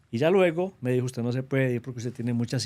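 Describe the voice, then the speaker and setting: With a paisa Colombian accent, a man speaks at a very fast pace in a dark, mellow tone at a medium pitch. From Colombia, Antioquia (paisa). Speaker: government trade representative. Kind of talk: interview.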